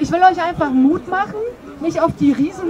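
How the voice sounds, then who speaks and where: Against noticeable background noise, a woman speaks with an extremely high pitch and lively intonation. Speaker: demonstrator and speaker; demonstrator, speaker. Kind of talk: open mic speech, appeal; public speech at protest. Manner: earnest, religious. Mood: encouraging, earnest. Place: street. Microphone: camera far.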